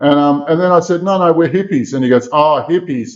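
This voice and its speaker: Speaking with an Australian accent, a man moves at a fairly quick pace with ordinary pitch variation. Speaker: exorcist and remote viewer. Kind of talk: interview storytelling. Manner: animated.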